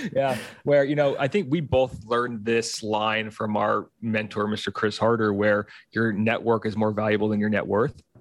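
Against a quiet background, a man speaks at a moderate pace with a fairly low pitch. His intonation is fairly even, and it is a normal speaking voice. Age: 30s. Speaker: physical therapist and movement coach. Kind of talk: casual chat.

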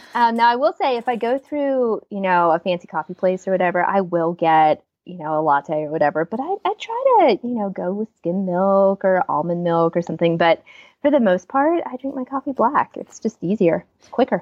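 Her voice is an unremarkable speaking voice at medium pitch, and the woman talks at a fairly quick pace with lively intonation. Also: big swings in loudness. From Pennsylvania, US. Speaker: author and speaker. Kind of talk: interview.

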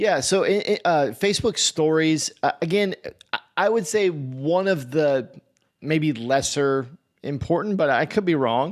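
Speaking at a fairly slow pace, a man with a plain, everyday voice has a fairly high pitch and lively intonation. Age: 30s. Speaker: podcast co-host. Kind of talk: casual chat.

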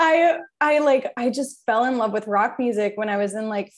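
The speaker has a plain, everyday voice with ordinary pitch variation. The pace is fairly quick. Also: woman. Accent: American. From New Jersey. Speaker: PR firm owner. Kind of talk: casual chat.

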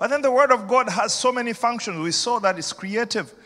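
In a raised, projected voice, a man with an extremely high pitch speaks in an animated tone with lively intonation. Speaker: senior pastor. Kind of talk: sermon. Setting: church. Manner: animated, rousing pulpit delivery, urging the congregation to shout back; repetitive, emphatic, persuasive.

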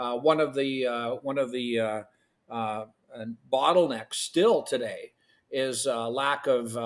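A man with a Canadian accent at medium pitch, very slow pace and fairly even intonation, on a very clean recording with a silent background. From Western Canada. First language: Ukrainian. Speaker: agrologist and entrepreneur. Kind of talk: podcast interview.

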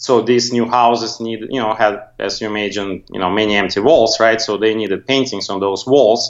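A man with a non-native accent speaks at a medium pitch, his intonation fairly even. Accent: foreign accent, non-native. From Soviet Union. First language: Russian. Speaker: graphic designer, agency owner. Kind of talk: interview.

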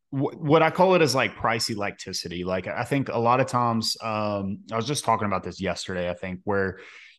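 A man has an ordinary speaking voice at a medium pitch, with ordinary pitch variation at a moderate pace. The background is quiet. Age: 20s. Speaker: podcast host, detailer, Navy veteran. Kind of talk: casual chat; podcast ad read.

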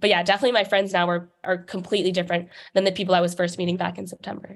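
A woman of medium pitch with an American accent, music in the background. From New York City. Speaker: college student athlete. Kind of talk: interview. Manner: hesitant with many fillers.

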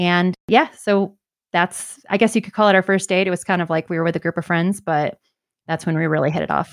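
A woman's normal speaking voice at a fairly quick pace, with fairly even intonation, on a very clean recording with a silent background. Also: fairly low pitch for a woman, dry, close sound with no echo. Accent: American. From Michigan. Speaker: physician and real estate agent. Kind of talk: interview conversation.

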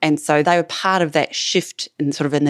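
Speaking at a very fast pace, a woman with an Australian accent has very deep, low pitch and fairly even intonation. The sound is dry and close with no echo, on a very clean recording with a silent background. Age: 50s. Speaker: clinical neuropsychologist. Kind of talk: interview.

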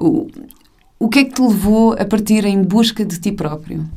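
A woman with a medium-pitched, dark, mellow voice and some vocal fry talks at a moderate pace with ordinary pitch variation. She takes long, frequent pauses. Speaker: podcast host. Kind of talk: casual interview; scripted introduction. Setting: podcast.

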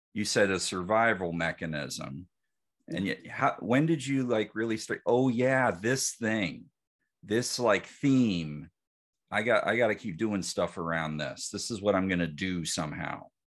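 Over a quiet background, a man with an ordinary speaking voice and fairly low pitch talks at a fairly slow pace with lively intonation. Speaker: podcast host, psychologist. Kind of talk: interview conversation.

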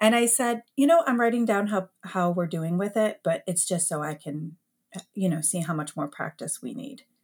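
With an American accent, a woman speaks at a moderate pace in a somewhat breathy voice. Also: medium pitch for a woman, lively intonation. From US Midwest, Metro Detroit, Michigan. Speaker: elementary music teacher. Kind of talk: podcast interview.

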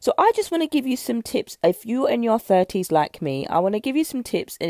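Her dark, mellow tone swinging very widely in pitch, a woman with a British accent talks at a fairly quick pace in a dry, close sound with no echo. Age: 30s. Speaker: nutrition coach. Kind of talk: solo podcast talk.

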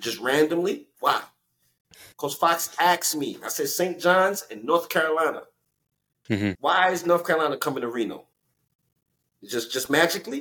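A man with a New York accent speaks at a high pitch with a bright, sharp tone and ordinary pitch variation. He keeps a moderate pace, with long, frequent pauses. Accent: New York urban. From New York (Elmont, Long Island / Brooklyn area). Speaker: former professional basketball player. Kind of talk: interview storytelling. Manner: animated.

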